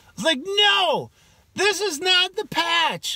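In a raised, projected voice with a bright, sharp tone, a man with an American accent makes very wide pitch swings, heard against a quiet background with a dry sound with no echo. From Wisconsin. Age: 40s. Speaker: YouTuber, amateur angler; vlogger. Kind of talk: casual vlog talk. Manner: animated. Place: car. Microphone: phone near.

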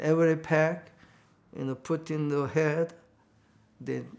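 A man with a Korean accent at a very slow pace, fairly even intonation, quiet background. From North Korea, Pyongyang. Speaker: reverend, Korean War survivor. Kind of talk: oral history interview answer. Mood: reflective, recounting wartime trauma. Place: home room.

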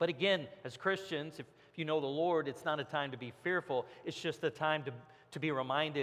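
A man's voice shows ordinary pitch variation and moves at a moderate tempo. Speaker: pastor. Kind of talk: sermon. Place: church. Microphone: headset.

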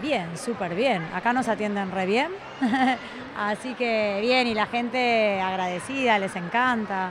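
Over noticeable background noise, the voice moves at a very slow pace with ordinary pitch variation and a dry sound with no echo. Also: woman. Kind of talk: interview answer. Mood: cheerful, laughing. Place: hall. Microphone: handheld.

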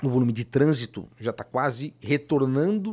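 The pitch of a man's voice leaps and dips across a very wide range. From Florianópolis, Santa Catarina, Brazil; Santa Catarina, Brazil. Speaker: former mayor. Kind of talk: casual interview. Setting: studio. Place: studio. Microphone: studio mic.

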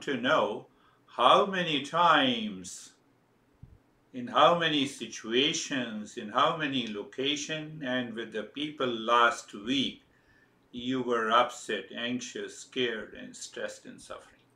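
Speaking at a very slow pace, a man shows big swings in loudness and ordinary pitch variation, with audible room echo. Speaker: spiritual teacher leading an online session. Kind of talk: spiritual talk to a group. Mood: calm, earnest, instructive. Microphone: video call.

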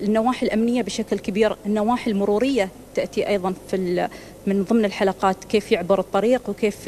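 A woman speaks at a moderate pace with ordinary pitch variation. Light background noise is present. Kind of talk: interview answer. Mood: calm, informative. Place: office. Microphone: handheld.

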